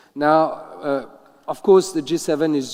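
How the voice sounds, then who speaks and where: At a moderate pace, a man speaks with fairly even intonation and a dark, mellow tone. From France. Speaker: ambassador. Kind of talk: panel discussion.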